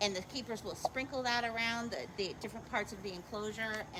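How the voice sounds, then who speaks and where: There's noticeable noise in the background. Over it, a woman talks. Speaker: zoo educator. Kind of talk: live educational commentary. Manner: quiet to avoid disturbing animals.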